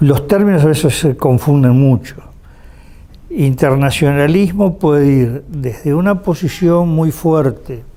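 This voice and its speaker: A man's fairly high pitch and dark, mellow tone, with ordinary pitch variation, at a very slow pace. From Uruguay. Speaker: political analyst and university professor. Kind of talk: interview answer.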